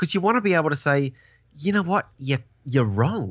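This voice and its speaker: This man, who has an Australian accent, lets his pitch swing very widely. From Tasmania, Australia. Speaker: podcast guest. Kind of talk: casual chat. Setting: video call.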